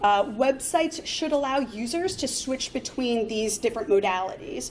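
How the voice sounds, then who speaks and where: Noticeable background noise runs under the recording. Over it, a woman speaks in a high voice. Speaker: conference speaker, front-end developer. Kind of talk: conference talk. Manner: fast; many filler words.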